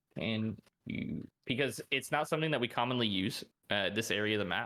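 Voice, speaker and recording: A loud, bright, sharp voice at a fairly quick pace with ordinary pitch variation, on a very clean recording with a silent background. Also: man, medium pitch for a man. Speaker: esports pro player. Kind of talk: interview. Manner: casual, filler-heavy.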